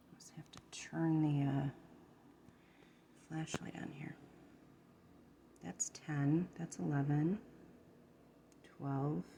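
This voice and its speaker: Soft-spoken and at a very slow pace, a woman with a very deep, low pitch leaves long, frequent pauses, her loudness swinging widely while her pitch varies in an ordinary way. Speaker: ASMR content creator. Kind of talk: soft-spoken ASMR tutorial. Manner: halting.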